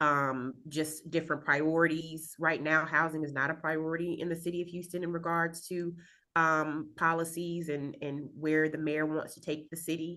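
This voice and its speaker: A woman speaks with very deep, low pitch and a bright, sharp tone. Her intonation stays monotone and flat, with hardly any pauses. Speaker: community land trust director. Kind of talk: panel talk on video call. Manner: fast.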